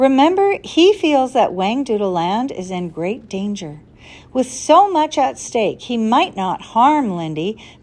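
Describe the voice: The delivery is plain reading aloud.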